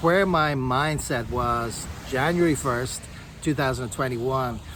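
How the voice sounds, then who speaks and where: A man speaks with a Dublin accent and ordinary pitch variation over noticeable background noise. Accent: Irish (Dublin). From Dublin, Ireland. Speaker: online affiliate marketer. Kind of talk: motivational talk to camera. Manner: upbeat, encouraging.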